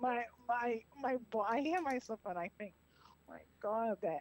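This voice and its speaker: A woman's fairly high voice with a strong Boston accent, dry and close with no echo. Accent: heavy Boston-area. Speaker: caller. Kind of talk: casual chat.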